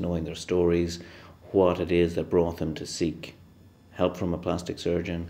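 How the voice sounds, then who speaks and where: This man speaks with an Irish accent. His voice is very deep and low, with a dark, mellow tone. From west of Ireland. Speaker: plastic surgeon. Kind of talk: interview answers. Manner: halting.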